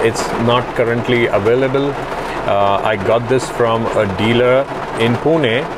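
A man is speaking. Loud background noise runs underneath. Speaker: product reviewer. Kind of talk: casual product review vlog. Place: car. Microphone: lapel.

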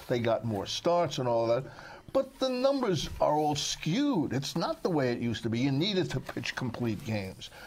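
A man with an American accent talks at a moderate pace, his pitch swinging very widely, over noticeable background noise. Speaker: sportswriter. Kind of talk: casual chat.

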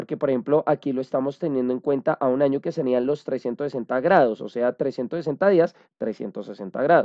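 Against a quiet background, a man with an ordinary speaking voice talks at a fairly slow pace, his pitch fairly high with ordinary pitch variation. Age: 30s. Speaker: holistic coach and astrology presenter; holistic coach, presenter. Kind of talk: lecture. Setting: video call webinar. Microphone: video call.

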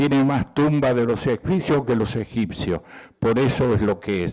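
A man's dark, mellow voice at a moderate pace, with ordinary pitch variation and a quiet background. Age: old. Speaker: art collector; presenter. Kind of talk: ceremony speech. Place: hall. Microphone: podium.

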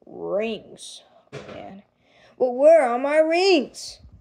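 The speaker puts on a character voice and moves at a very slow pace. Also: woman, high pitch for a woman.

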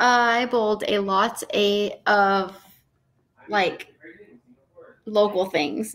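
With an American accent, a woman speaks in fairly even intonation. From Tucson, Arizona; Arizona. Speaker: professional bowler; podcast guest. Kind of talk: interview. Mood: warm, reflective. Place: home room. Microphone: earbuds.

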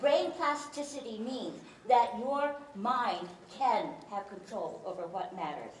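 A woman at a high pitch and a fairly slow pace, with very wide pitch swings and big swings in loudness, amid light background noise and audible room echo. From New York. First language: Chinese. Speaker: speaker, former philosophy teacher. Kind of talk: humorous talk to a live audience. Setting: stage with audience. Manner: humorous, engaging storyteller. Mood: humorous, warm. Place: hall.

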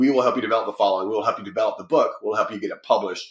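Very fast speech in an American accent, with audible room echo over a quiet background. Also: man. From United States. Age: 40s. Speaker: publishing company founder and author. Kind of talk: podcast interview. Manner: animated. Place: home room. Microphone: video call.

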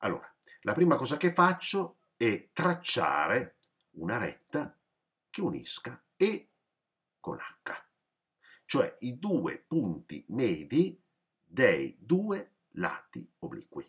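This man talks very slowly. Long pauses come often. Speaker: math teacher. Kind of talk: lecture. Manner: explanatory, with frequent hesitations.

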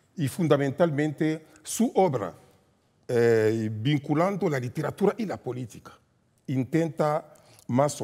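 Over a quiet background, a man talks at a very slow pace in a dark, mellow tone. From DR Congo, Katanga; DR Congo. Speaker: professor. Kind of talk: formal speech. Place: hall. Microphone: headset.

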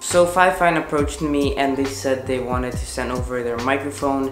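At a fairly quick pace, a man talks over clear music in the background. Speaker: tech reviewer. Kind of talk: product review vlog. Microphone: camera far.

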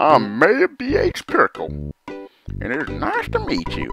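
A man speaks in a put-on character voice at a very slow pace. Faint music plays in the background. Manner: friendly, welcoming.

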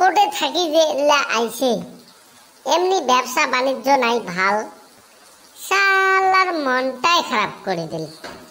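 A female-sounding cartoonish character voice, high in pitch with very wide swings, moves at a fairly slow pace. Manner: grumpy, irritable, complaining.

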